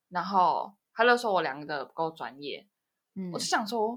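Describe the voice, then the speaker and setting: A woman's medium-pitched voice in a Taiwanese accent, with lively intonation and a fairly slow pace, on a very clean recording with a silent background. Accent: Taiwanese Mandarin. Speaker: podcast host. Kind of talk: casual chat.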